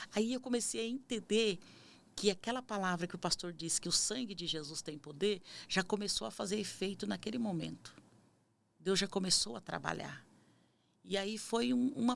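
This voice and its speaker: Lively intonation and vocal fry mark this woman's voice. She speaks at a moderate pace. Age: 50s. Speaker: missionary. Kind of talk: testimony.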